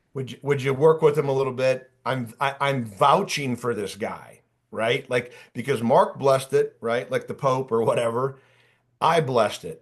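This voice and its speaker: A man with an American accent speaks at a moderate pace in a medium, somewhat breathy voice against a quiet background. His tone is animated, with ordinary pitch variation. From Ohio. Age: 50s. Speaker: career coach. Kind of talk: workshop presentation.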